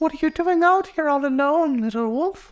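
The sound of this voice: A man talks at a moderate pace in an extremely high voice. He is doing a put-on character voice.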